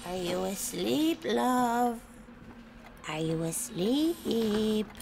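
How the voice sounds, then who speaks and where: Using a cartoonish character voice, a woman speaks at a very slow pace and a fairly high pitch with very wide pitch swings, over clear background noise. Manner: wry, rancorous.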